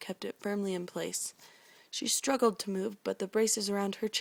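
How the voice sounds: Fairly even intonation in a natural reading voice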